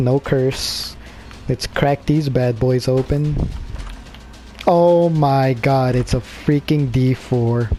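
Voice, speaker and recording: Over music in the background, a man speaks very slowly at a medium pitch, with very even loudness, fairly even intonation and long, frequent pauses. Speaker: gaming video creator. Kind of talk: let's play commentary.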